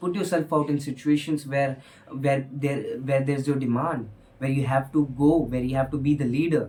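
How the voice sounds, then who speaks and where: This speaker has an Indian accent and a moderate pace. Pitch variation is ordinary. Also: man. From India, Hindi-speaking household. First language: Hindi. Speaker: motivational speaker. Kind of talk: motivational talk. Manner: hesitant, frequent fillers.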